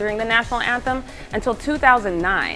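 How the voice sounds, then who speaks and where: With music in the background, a woman talks very fast in an energetic tone. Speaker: sports reporter. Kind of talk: sports news broadcast reel. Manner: energetic, conversational.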